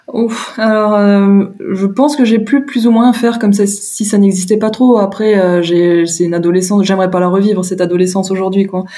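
A woman with a medium-pitched voice talks at a moderate pace with fairly even intonation and hardly any pauses, with audible room echo and noticeable background noise. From France, Moselle (Lorraine). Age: 30s. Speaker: interviewee sharing coming-out story. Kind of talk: personal testimony interview. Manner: hesitant, many fillers and repetitions.

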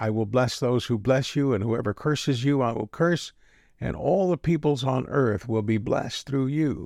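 Over a quiet background, a man with a plain, everyday voice speaks at a moderate pace and medium pitch with ordinary pitch variation. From Texas. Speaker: pastor. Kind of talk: audiobook-style scripture reading, solemn and measured. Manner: warm, gently pastoral.

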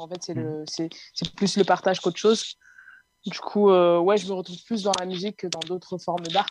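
Her intonation stays monotone and flat. The woman talks at a moderate pace. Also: medium pitch for a woman, big swings in loudness. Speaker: singer and music producer. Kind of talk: interview.

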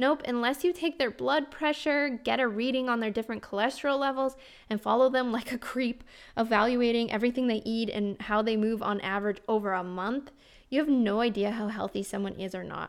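A woman in a normal speaking voice, fairly high in pitch with ordinary pitch variation, at a fairly quick pace on a very clean recording with a silent background. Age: 30s. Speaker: health and life coach, podcast host. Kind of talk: reading aloud from her memoir.

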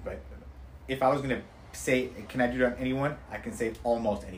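With audible room echo around him, a man of medium pitch speaks at a moderate pace with vocal fry. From Iran, moved to US at age five. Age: 40s. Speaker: aesthetic physician. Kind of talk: casual interview.

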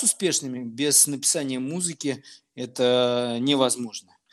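A man at a very slow pace. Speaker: music producer and DJ. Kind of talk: interview.

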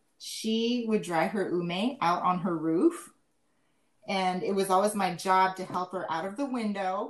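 With an American accent, this speaker has a normal speaking voice, ordinary pitch variation, and a fairly slow pace. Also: woman, medium pitch for a woman. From Japan, Malaysia and Seattle. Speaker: podcast co-host, school kitchen worker. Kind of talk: casual chat.

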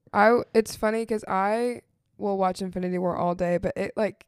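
Dry and close with no echo, an unremarkable speaking voice from a woman of medium pitch moves at a fairly quick pace with fairly even intonation. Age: 20s. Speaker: college student and ministry intern. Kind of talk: casual chat.

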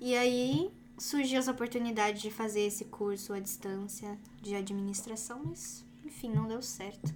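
Music plays in the background. Over it, a woman talks with a fairly high pitch. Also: ordinary pitch variation, moderate pace. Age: 20s. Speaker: YouTuber. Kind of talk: casual chat.

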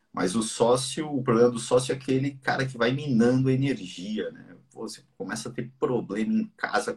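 A man with a medium pitch and a somewhat breathy voice speaks at a moderate pace with ordinary pitch variation. His loudness swings widely, and he leaves hardly any pauses. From Brazil, mixed (Ceará, Santos). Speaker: business podcast host. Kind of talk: casual live business talk. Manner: animated.

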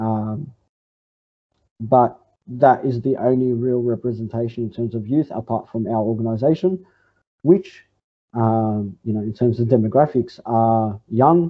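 A man speaks in an Australian accent. His voice sits at a medium pitch and moves at a moderate pace. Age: 20s. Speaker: communist party organizer. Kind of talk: interview answer. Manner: halting, many fillers.

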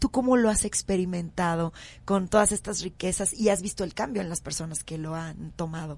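A woman speaks at a fairly quick pace in a fairly low, somewhat breathy voice, with ordinary pitch variation and big swings in loudness. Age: 40s. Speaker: radio host. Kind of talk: radio talk show.

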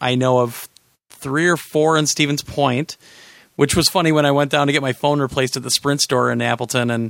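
With a normal speaking voice, a man holds a medium pitch and fairly even intonation. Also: dry, close sound with no echo. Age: 40s. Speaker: podcast host. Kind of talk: casual chat.

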